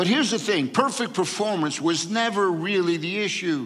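Lively intonation marks this man's speech at a moderate pace. The background is quiet. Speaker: pastor. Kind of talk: sermon. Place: church. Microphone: headset.

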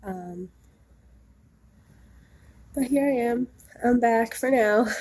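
A woman's nasal voice, slightly mellow in tone with a slightly husky edge.

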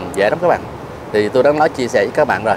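A man's lively intonation against noticeable background noise. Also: dry sound with no echo. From Southern Vietnam, Ho Chi Minh City. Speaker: bonsai vlogger. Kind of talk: casual chat. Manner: hesitant with many fillers. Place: garden. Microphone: lapel.

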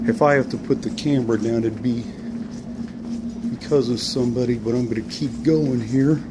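Over loud background noise, a man is speaking. He talks fairly quickly, with ordinary pitch variation. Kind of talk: casual vlog commentary. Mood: critical, somewhat hushed. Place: office. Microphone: phone near.

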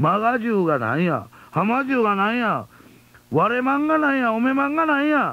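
A man with an Osaka accent talks at a fairly quick pace in a dry sound with no echo. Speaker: radio host, comedian. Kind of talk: late-night radio talk. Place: studio. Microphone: old recording.

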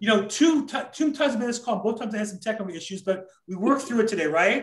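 Speaking fast, a man uses a high pitch and lively intonation.

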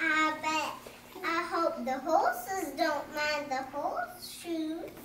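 In an extremely high, put-on character voice that sounds female, someone speaks at a very slow pace with a slight echo. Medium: role play.

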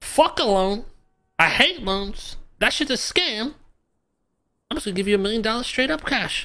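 A female-sounding voice with a fairly high pitch and lively intonation moves at a moderate pace. Long pauses come often. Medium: game stream. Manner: laid-back, swaggering, profane, mentor-like.

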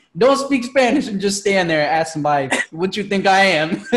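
A man's voice with audible room echo. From Philadelphia, US. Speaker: podcast host. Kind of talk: casual chat.

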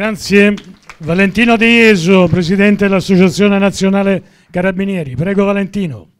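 A man with a high pitch talks at a moderate pace. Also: fairly even intonation. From Sicily. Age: old. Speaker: event host. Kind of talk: event hosting. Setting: stage with audience. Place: stage. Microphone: handheld.

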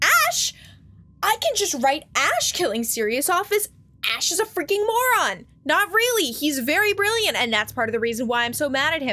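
A woman's raised, projected voice at a moderate pace, with very wide pitch swings. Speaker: gaming streamer. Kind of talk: casual reaction commentary. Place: home room.

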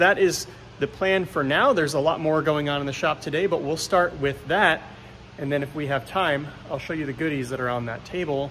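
A man at a fairly quick pace, with ordinary pitch variation, over light background noise. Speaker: car builder vlogger. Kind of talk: casual vlog chat. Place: workshop. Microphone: phone near.

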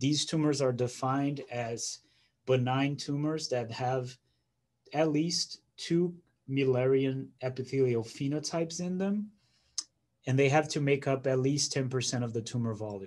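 With a Portuguese accent, a man speaks at a fairly slow pace and with ordinary pitch variation. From Brazil. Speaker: pathology fellow. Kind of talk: scientific presentation. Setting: video call. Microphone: video call.

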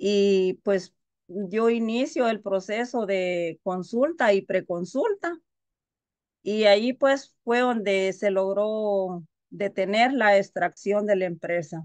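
A woman talks at a very slow pace in a medium pitch with ordinary pitch variation, in a dry sound with no echo against a quiet background. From Guatemala. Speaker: community activist. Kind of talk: panel testimony. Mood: earnest, determined. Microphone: video call.

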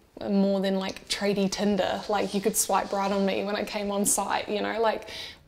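The speaker is a woman. She talks in a New Zealand accent. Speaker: electrician. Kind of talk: interview answer. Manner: casual, candid.

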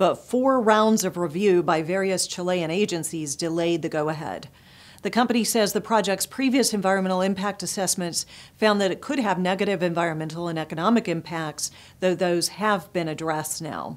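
Her pace is fairly quick. The woman's pitch moves in an ordinary way. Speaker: news presenter and publisher. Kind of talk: formal news reading, scripted headlines delivered in a steady, polished broadcast style. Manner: formal, measured and even-paced, crisp and neutral like a broadcast anchor; clear, businesslike, brisk transitions between stories. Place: studio. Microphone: lapel.

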